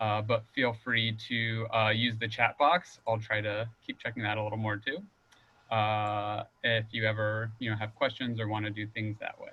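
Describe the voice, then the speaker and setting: In a medium register, a man talks at a moderate speed. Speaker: nonprofit volunteer manager. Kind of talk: webinar presentation. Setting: video call. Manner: animated.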